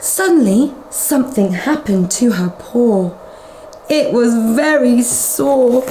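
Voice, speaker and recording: Speaking very slowly with lively intonation, a woman with a British accent has a high pitch, heard over noticeable background noise. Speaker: nanny from England reading to children. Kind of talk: children's storybook reading. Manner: teacherly, explaining to a child.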